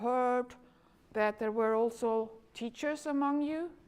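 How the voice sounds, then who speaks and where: A woman speaks at a fairly slow pace. Her pitch moves in an ordinary way. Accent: Flemish. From Flanders, Belgium. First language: Dutch. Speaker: education lecturer. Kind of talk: conference talk. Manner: halting, many fillers.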